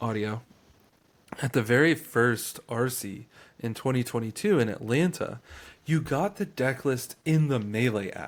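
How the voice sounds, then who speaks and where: Here a man talks at a fairly slow pace. His pitch varies in an ordinary way. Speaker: magic card game podcaster. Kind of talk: casual chat. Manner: loud; animated.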